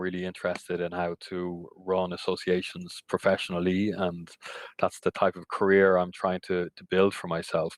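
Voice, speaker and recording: With an Irish accent and a very deep, low pitch, a man speaks at a moderate pace in a dry, close sound with no echo. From Ireland. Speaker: cycling industry association CEO. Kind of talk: podcast interview.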